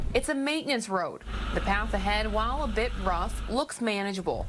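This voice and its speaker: An American accent at a moderate pace with very even loudness, over noticeable background noise. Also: woman. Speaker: multimedia journalist / TV reporter. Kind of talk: packaged TV news story voiceover.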